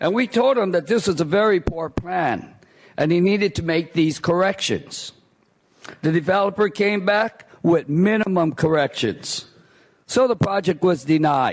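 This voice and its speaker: A man speaks in a high voice at a fairly slow pace. His loudness stays very even, and his pitch variation is ordinary. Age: 60s. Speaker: former planning commissioner speaking at public comment. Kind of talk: public comment speech. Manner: animated.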